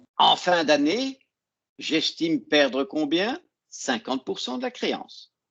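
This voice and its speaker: A man's high-pitched voice at a very slow pace, with very wide pitch swings and big swings in loudness, over a quiet background. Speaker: accounting teacher. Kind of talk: online lecture.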